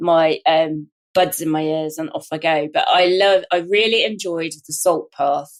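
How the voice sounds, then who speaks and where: The speaker has a southern English accent and ordinary pitch variation. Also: woman. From southern England, Hampshire. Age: 60s. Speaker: wrongly prosecuted sub-postmaster. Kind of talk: interview. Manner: halting.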